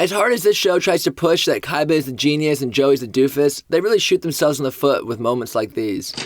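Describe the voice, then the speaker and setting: A man rattles along at a very fast pace with hardly any pauses, his fairly high voice full of lively intonation. Noticeable background noise runs underneath. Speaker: commentary video host. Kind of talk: casual commentary.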